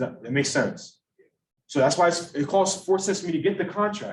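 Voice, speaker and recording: A man speaks here. His intonation is lively. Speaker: student presenter at investment club. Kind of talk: casual presentation. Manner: casual; slow.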